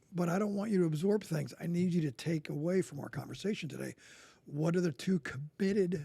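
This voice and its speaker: A man with an American accent and a high pitch talks at a fairly quick pace in a dark, mellow tone, with ordinary pitch variation and a dry, close sound without echo. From New Jersey, US. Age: 60s. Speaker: coach and former Marine. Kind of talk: podcast interview.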